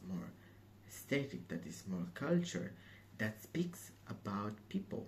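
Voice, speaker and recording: A man with an Italian accent speaks fairly slowly at a fairly low pitch, his dark, mellow tone somewhat breathy and his intonation lively. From southern Italy, Calabria. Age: 20s. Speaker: assistant perfumer. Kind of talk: application video monologue. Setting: museum. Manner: hesitant, many fillers.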